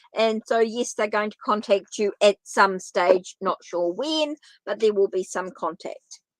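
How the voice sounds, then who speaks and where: A woman with a New Zealand accent talks at a fairly slow pace and fairly high pitch, the sound dry and close with no echo against a quiet background. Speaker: tarot reader. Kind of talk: live stream tarot reading and chat with viewers. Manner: casual, repetitive.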